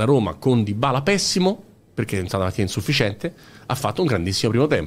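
A man's animated, very fast delivery at a medium pitch, with very wide pitch swings. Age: 40s. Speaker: football podcaster. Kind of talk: casual chat.

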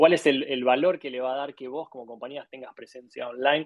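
In an Argentine accent, a man talks at a fairly quick pace and a fairly high pitch. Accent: Argentine Spanish (Rioplatense). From Argentina. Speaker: graphic designer and design studio CEO. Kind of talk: interview. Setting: live audio room on social media.

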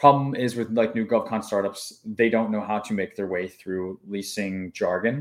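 The recording is very clean and the background silent. His voice sits at a medium pitch for a man, with ordinary pitch variation. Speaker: government contracting consultant. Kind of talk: live stream tutorial. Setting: live stream. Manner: fast talker; animated, casual.

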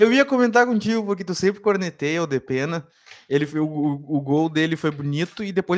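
The man talks at a fairly quick pace, his high voice full of lively intonation. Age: 30s. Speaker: sports journalist. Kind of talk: casual sports debate. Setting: live online show.

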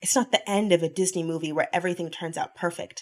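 On a very clean recording with a silent background, a woman of medium pitch speaks at a very fast pace. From US South. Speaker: podcast host. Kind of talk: solo monologue podcast. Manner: animated.

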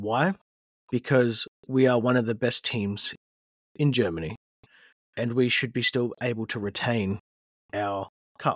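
With an Australian accent, a man speaks at medium pitch and a fairly slow pace, leaving long, frequent pauses, with ordinary pitch variation and a dry, close sound with no echo. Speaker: football podcast host. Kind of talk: solo podcast monologue. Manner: hesitant, frequent fillers.

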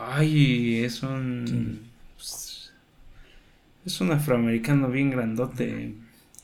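A man with a Mexican accent speaks in a room with audible echo. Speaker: video game podcast host. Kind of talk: casual chat.

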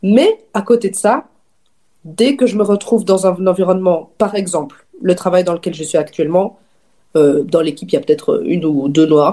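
With a slight Belgian accent, a woman speaks at a moderate pace in a medium pitch, her dark, mellow tone carried by lively intonation. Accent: slight, barely audible Belgian French. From Belgium, Namur region (Wallonia). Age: 20s. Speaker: magazine founder and editor. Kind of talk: casual chat.

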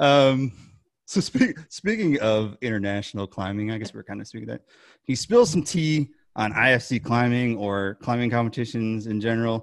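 A man talks at a moderate pace in a plain, everyday voice with a medium pitch, ordinary pitch variation, and big swings in loudness. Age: 40s. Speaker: podcast co-host. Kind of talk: casual interview.

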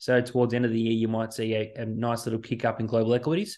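Against a quiet background, a man speaks at a very fast pace with an Australian accent. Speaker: financial planner. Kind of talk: solo economic update podcast. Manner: casual, conversational with fillers.

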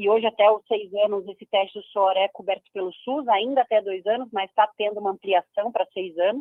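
A woman of medium pitch talks in a plain, everyday voice at a fairly quick pace, with fairly even intonation and hardly any pauses. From Brazil, Curitiba (Paraná). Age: 30s. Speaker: patient advocate, founder of a cystic fibrosis institute. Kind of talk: radio interview.

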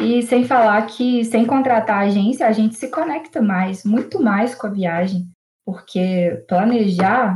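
Her voice is fairly high in pitch and somewhat breathy. The woman speaks at a fairly slow pace. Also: ordinary pitch variation. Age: 20s. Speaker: programmer and traveller. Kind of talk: casual chat.

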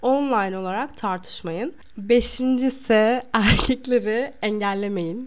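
The background is quiet. Speech comes at a very slow pace with ordinary pitch variation. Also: woman. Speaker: podcast host giving relationship advice. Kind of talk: casual advice monologue.

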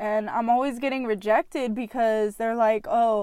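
In a very clean recording with a silent background, a woman uses a normal speaking voice at a fairly high pitch and a moderate pace. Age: 20s. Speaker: podcast host. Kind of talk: personal monologue.

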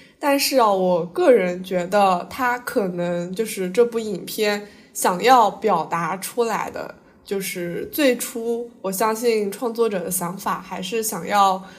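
A woman speaks at a very slow pace and medium pitch. Her pitch varies in an ordinary way, and room echo is audible. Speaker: podcast host, overseas student. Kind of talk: casual chat.

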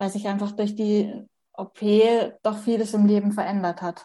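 Her tone is dark and mellow, and somewhat breathy. The woman speaks at a fairly slow pace. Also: quiet background. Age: 30s. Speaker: person with Turner syndrome sharing her story. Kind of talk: interview testimony.

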